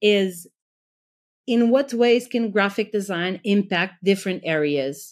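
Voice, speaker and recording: On a very clean recording with a silent background, a woman with a Portuguese accent speaks at a fairly slow pace in a medium pitch with lively intonation. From Portugal. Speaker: graphic designer. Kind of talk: interview.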